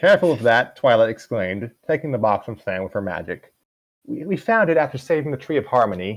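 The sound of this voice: Quiet background behind an unforced reading voice.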